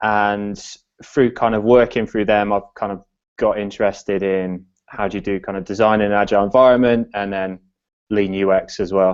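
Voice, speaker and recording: With an English accent, a man speaks at a moderate pace in a fairly low pitch and a monotone, flat intonation. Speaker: design consultant. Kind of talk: podcast interview. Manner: hesitant, many fillers.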